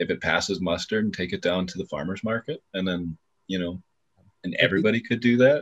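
With an unremarkable speaking voice, a man talks at a fairly quick pace and fairly low pitch, using lively intonation, in a dry, close sound with no echo. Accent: Canadian. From Canada. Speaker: cannabis grower, medical patient. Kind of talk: casual chat.

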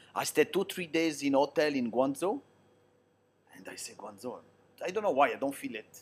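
A man's fairly high voice with an Italian accent, lively intonation, a moderate pace, long, frequent pauses and big swings in loudness. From Switzerland, Italian parents from southern Italy. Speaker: long-term expat interviewee. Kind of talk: casual interview.

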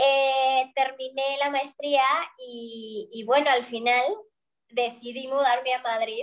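A woman speaks with a high-pitched voice. Her intonation stays fairly even. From Mexico. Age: young. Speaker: opera singer. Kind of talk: interview.

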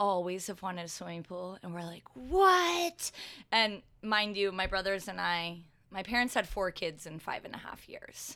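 With a bright, sharp tone and big swings in loudness, a woman speaks at a moderate pace on a very clean recording with a silent background. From southern California (moved from Connecticut in 4th grade). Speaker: yoga instructor and entrepreneur. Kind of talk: casual interview.

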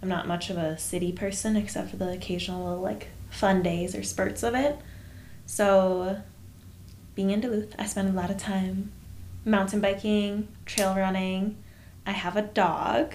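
A woman speaks with fairly even intonation and long, frequent pauses, with audible room echo around her. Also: medium pitch for a woman, fairly slow pace. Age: 20s. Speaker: podcast co-host, photographer. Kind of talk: casual chat.

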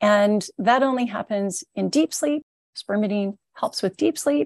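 A woman speaks at a fairly slow pace in an ordinary speaking voice, with an American accent and a medium pitch. Her intonation is lively, and the sound is dry and close with no echo. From Southern California. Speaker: supplement company founder. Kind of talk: interview.

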